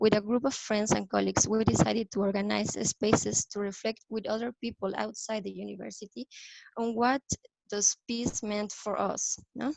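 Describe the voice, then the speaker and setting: A woman speaks with a Spanish accent in a dry, close sound with no echo. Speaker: youth peace activist. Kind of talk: prepared talk read from notes. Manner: hesitant, with fillers.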